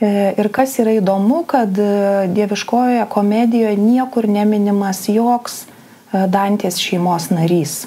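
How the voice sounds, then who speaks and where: In a Lithuanian accent, a woman speaks at a medium pitch with ordinary pitch variation. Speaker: psychologist-psychotherapist presenter; presenter. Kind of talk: lecture. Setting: online live broadcast. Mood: calm, thoughtful. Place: home room.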